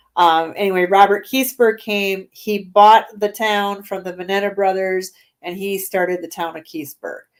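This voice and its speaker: A woman at a moderate pace, medium in pitch, with big swings in loudness. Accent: Minnesotan. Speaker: paranormal investigator. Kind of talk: casual chat.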